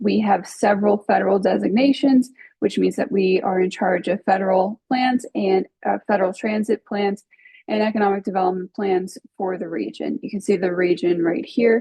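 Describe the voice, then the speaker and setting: A woman talks with vocal fry. Her intonation stays fairly even. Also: medium pitch for a woman, moderate pace. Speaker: regional planning grant coordinator. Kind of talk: webinar presentation.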